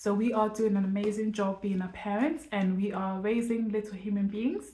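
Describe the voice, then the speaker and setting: A woman's medium-pitched, somewhat breathy voice with a dark, mellow tone. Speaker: parenting vlogger. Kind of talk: casual vlog to camera. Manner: fast.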